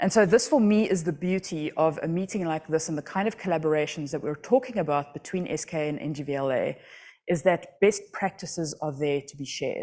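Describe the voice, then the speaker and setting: Talking at a fairly quick pace, a woman with a South African accent has a fairly low pitch, a dark, mellow tone and ordinary pitch variation, in a very clean recording with a silent background. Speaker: astronomy outreach project director. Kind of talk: conference talk. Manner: conversational, many fillers.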